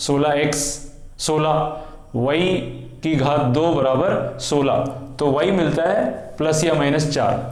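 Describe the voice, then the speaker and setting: With a non-native accent, a man speaks in a fairly high voice, monotone and flat in intonation and very even in loudness, amid audible room echo and noticeable background noise. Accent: non-native Hindi. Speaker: maths teacher. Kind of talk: tutorial.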